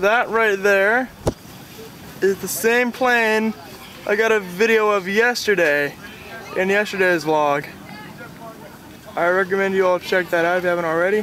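Long, frequent pauses break up speech at a moderate pace. The sound is dry with no echo, with light background noise. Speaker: travel vlogger. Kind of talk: casual vlog chat. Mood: cheerful, excited. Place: beach. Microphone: phone near.

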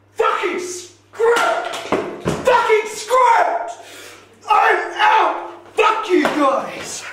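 Speaking at a very slow pace with ordinary pitch variation, a man is heard over loud background noise with audible room echo. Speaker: comic narrator. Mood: frustrated, yelling, storms off. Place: bathroom. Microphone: camera far.

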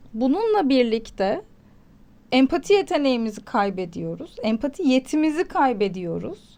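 Against a quiet background, a woman with a high pitch speaks at a fairly slow pace with very wide pitch swings. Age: 30s. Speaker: psychology commentator, mother. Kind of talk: casual chat.

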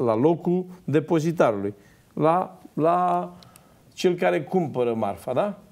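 At a very slow pace, a man with a fairly high pitch speaks with very wide pitch swings and long, frequent pauses. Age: 50s. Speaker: farmer and former MP; talk show guest. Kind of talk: TV panel discussion. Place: studio. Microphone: lapel.

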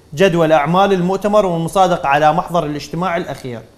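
Fairly quick and fairly even in intonation, a man speaks in a high voice with an Iraqi accent. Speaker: sports TV presenter; TV presenter. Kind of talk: TV sports talk show. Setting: studio. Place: studio. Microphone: lapel.

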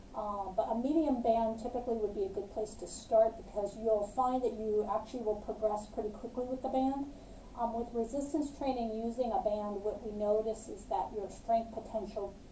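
A woman talks with fairly even intonation. Light background noise and audible room echo are present. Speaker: fitness instructor. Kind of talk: tutorial. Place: home room. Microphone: camera far.

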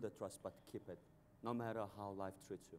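Light background noise sits behind a man speaking with a Mongolian accent. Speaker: banker, financial company CEO; panelist. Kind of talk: panel discussion. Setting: stage with audience at a conference. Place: stage. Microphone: lapel.

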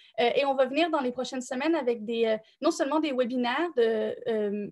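Over a quiet background, a woman with a Quebec accent speaks at a high pitch. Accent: Québécois French. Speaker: nonprofit co-founder and director; thesis coaching service representative. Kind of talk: live-stream panel discussion. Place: home room. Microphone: webcam.

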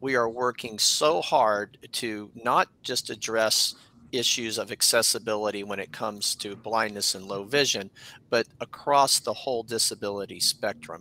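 At a moderate pace, a man talks in a bright, sharp tone at medium pitch with fairly even intonation, the sound dry with no echo. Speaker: nonprofit executive director. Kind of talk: panel discussion. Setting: video call. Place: home room.

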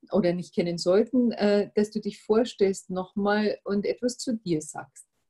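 A woman's medium-pitched voice, dark and mellow with a slightly husky edge, ordinary pitch variation, and a fairly slow pace

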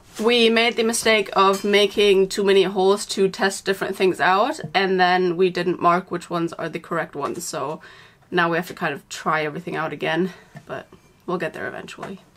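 This is a woman speaking at a fairly quick pace. Her pitch varies in an ordinary way. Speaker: van builder vlogger. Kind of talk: casual vlog chat. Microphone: camera far.

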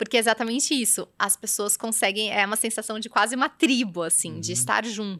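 A woman talks very fast in a fairly high, bright and sharp voice with vocal fry, ordinary pitch variation and big swings in loudness. The very clean recording has a silent background and a dry, close sound with no echo. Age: 40s. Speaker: image and style consultant. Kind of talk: podcast interview.

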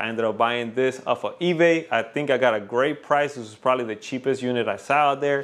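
The pace is fairly quick. A man speaks with ordinary pitch variation. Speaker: DIY garage vlogger. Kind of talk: casual vlog chat. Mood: happy, grateful. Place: garage.

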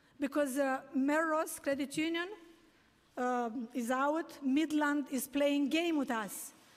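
Her pitch high and her intonation fairly even, a woman speaks at a very slow pace. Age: 60s. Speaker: taxi medallion owner testifying at a hearing. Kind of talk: public testimony. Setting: city council hearing. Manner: halting. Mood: distressed, pleading. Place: hall. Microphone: podium.

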